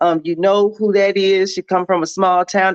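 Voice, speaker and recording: Against a quiet background, a woman with a normal speaking voice talks at a fairly quick pace and medium pitch, the sound dry and close with no echo. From Milwaukee, Wisconsin (born in Jonesboro, Arkansas). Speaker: show guest. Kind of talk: casual chat.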